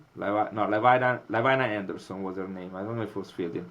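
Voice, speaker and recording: With an Italian accent, this man talks at a fairly low pitch and with fairly even intonation. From Italy, Milan. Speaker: molecular biologist. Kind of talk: interview. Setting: podcast. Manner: hesitant, many fillers.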